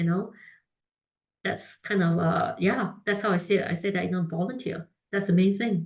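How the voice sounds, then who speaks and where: Somewhat breathy woman's voice at medium pitch, with a moderate pace, fairly even intonation and long, frequent pauses. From Singapore. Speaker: food brand founder. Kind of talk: interview. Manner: many fillers and restarts.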